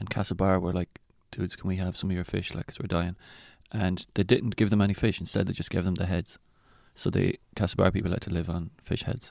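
With an Irish accent, a man talks at a fairly quick pace in a very deep, low pitch with fairly even intonation, on a very clean recording with a silent background. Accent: Irish (Mayo). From Ireland, County Mayo. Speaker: comedian. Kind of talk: casual chat.

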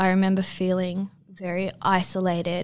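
The speaker talks fairly slowly with an Australian accent and a flat, monotone intonation. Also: woman. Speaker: abuse survivor, nursing student. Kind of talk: personal testimony interview.

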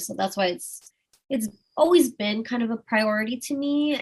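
A woman with an American accent talks at a moderate pace. Her voice is somewhat breathy. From Austin, Texas. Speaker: adult content creator. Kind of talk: casual interview.

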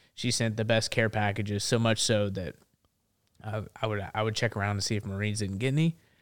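With a Tennessee accent, a man speaks in a fairly low voice with fairly even intonation. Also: very clean recording, silent background. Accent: Southern US (Tennessee). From Memphis, Tennessee. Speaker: Marine veteran and activist. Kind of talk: casual interview conversation.

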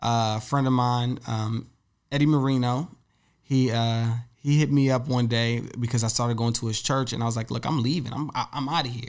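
Speaking in an unremarkable speaking voice with an American accent, a man keeps a moderate pace, medium pitch and fairly even intonation. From Virginia, Woodbridge. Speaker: author and recording engineer. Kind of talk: interview.

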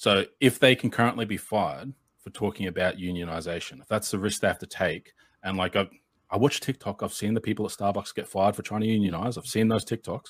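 Speaking at a very fast pace, a man with an Australian accent has a fairly low pitch, ordinary pitch variation and big swings in loudness. The sound is dry and close with no echo, in a very clean recording with a silent background. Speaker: progressive political content creator. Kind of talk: debate.

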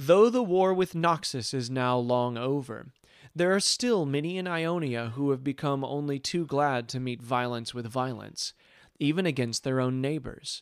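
The delivery is dramatic and fairly slow, with ordinary pitch variation. The sound is dry and close, with no echo. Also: man. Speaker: fantasy story narrator. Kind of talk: fantasy story narration, audiobook-style reading of lore. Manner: measured, dramatic storyteller pacing.

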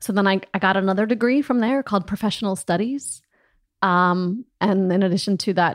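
At a moderate pace, a woman with an American accent speaks at a medium pitch with ordinary pitch variation, in a very clean recording with a silent background. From US Midwest, Des Moines, Iowa. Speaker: opera singer. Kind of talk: casual chat.

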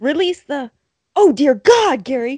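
A put-on character voice, high in pitch and excited and dramatic in tone, unfolds at a fairly slow pace. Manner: excited, dramatic announcer delivery.

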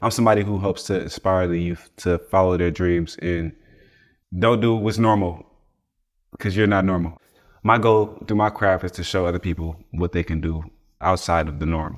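On a very clean recording with a silent background, a man with an American accent speaks at a very deep, low pitch. He keeps a moderate pace with fairly even intonation and long, frequent pauses. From US West Coast, East Palo Alto, California. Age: 20s. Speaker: photographer and videographer. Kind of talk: casual interview chat.

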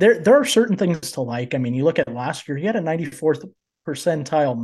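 A man's voice is somewhat breathy, with a dark, mellow tone and a fairly high pitch. The background is quiet. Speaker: fantasy baseball analyst, student. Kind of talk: casual chat.

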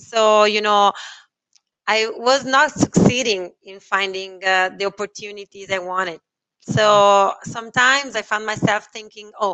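Speaking at a fairly slow pace in an Italian accent, a woman keeps her fairly high voice in fairly even intonation. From Italy. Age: 30s. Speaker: sales and marketing professional. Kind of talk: interview. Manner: halting.

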